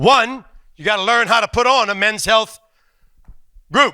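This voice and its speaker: A man's raised, projected voice, animated and bright and sharp in tone, with a dry, close sound and no echo. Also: very clean recording, silent background. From New Orleans, Louisiana (Cajun family). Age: 60s. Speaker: comedian. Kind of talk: stand-up.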